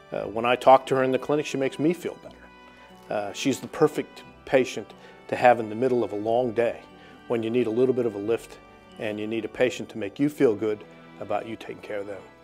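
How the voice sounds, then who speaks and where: With music in the background, a man speaks at a very fast pace and medium pitch, his intonation fairly even and his loudness swinging widely. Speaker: cardiologist. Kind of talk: interview answer.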